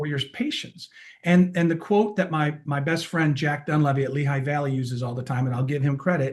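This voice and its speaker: With an American accent, a man speaks at a fairly quick clip in a fairly high, somewhat breathy voice with ordinary pitch variation. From US Northeast, Rochester, New York. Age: 60s. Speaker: keynote speaker and healthcare experience executive. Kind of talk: casual interview chat. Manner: animated.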